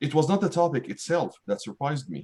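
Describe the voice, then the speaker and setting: The speech comes at a moderate pace with an Arabic accent. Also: man. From Syria, Damascus. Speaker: writer and math professor. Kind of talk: reading aloud.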